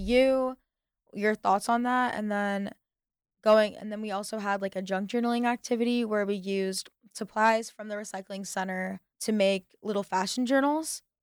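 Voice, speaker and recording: A woman with an American accent speaks at a fairly quick pace, her pitch medium and her intonation fairly even. She has a plain, everyday voice, and the recording is very clean with a silent background. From US. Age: 20s. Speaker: student club president. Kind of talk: radio interview.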